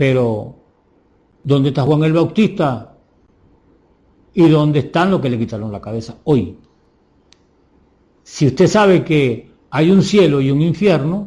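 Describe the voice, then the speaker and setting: A man speaks at a fairly slow pace with long, frequent pauses. His dark, mellow tone is somewhat breathy, with lively intonation. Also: fairly high pitch for a man. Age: 70s. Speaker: preacher. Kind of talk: sermon. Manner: animated.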